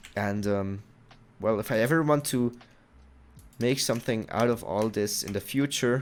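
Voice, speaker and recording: Speaking with a non-native accent, a man keeps a moderate pace and a medium pitch with ordinary pitch variation. He takes long, frequent pauses. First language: not English. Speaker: gaming YouTuber. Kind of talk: gameplay commentary. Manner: halting.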